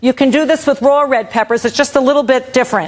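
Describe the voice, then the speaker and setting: High-pitched woman with an American accent. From New York. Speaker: vegan cooking instructor. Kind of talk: cooking demo. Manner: loud.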